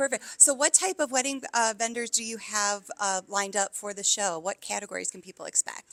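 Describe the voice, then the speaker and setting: With an American accent, a woman talks at a fairly quick pace with hardly any pauses, her fairly high voice carrying lively intonation and big swings in loudness, all in a dry, close sound with no echo. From upstate New York. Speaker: podcast host. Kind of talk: interview. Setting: on location at event venue.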